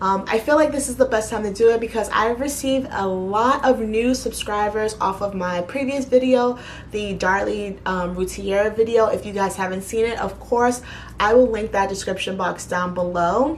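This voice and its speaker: A woman in a New York accent, fairly high in pitch with ordinary pitch variation, at a moderate pace amid noticeable background noise. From New York City (Bronx, Queens). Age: 30s. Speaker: YouTuber. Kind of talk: casual Q&A vlog.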